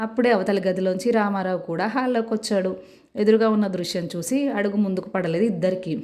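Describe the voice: Simple reading of a text aloud.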